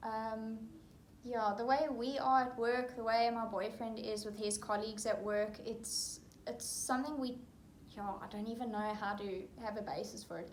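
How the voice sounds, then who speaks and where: With a South African accent, a woman speaks at a moderate pace and a fairly high pitch, her intonation fairly even. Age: 20s. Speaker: international recruiter. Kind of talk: interview answer.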